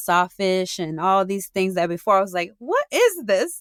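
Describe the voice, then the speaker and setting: A woman in a Southern US accent talks at a moderate pace and medium pitch, recorded with a dry, close sound and no echo. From New Orleans, Louisiana. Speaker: small business owner. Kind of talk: interview. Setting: studio. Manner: casual, hesitant with fillers.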